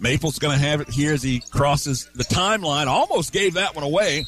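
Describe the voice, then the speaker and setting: A man with an American accent speaks at a fairly high pitch and a fairly quick pace. Noticeable background noise runs under his voice. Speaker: play-by-play radio announcer. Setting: courtside at a high school gym. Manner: brisk, clipped, present-tense calling of player movements.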